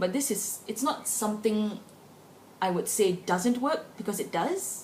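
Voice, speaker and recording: A woman speaks at a fairly slow pace with lively intonation, over noticeable background noise and audible room echo. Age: 20s. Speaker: vlogger. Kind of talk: personal opinion vlog. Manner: casual, conversational.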